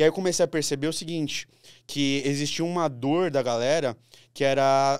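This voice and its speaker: In a dry recording with no echo and a quiet background, a man uses a normal speaking voice, fairly high in pitch, at a moderate pace with fairly even intonation. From Brazil. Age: 20s. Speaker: lawyer turned digital marketer and finance creator; podcast guest. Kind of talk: casual podcast interview. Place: studio. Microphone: studio mic.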